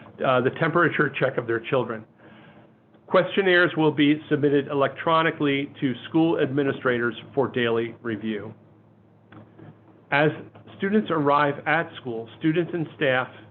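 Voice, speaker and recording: A man with an upstate New York accent talks at a moderate pace in a fairly high pitch, with ordinary pitch variation and long, frequent pauses. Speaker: school superintendent. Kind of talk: webinar presentation. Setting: webinar.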